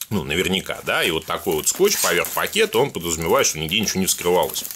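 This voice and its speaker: Light background noise sits behind a man speaking. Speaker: product reviewer. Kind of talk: casual unboxing commentary. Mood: joking, mock-excited, profane.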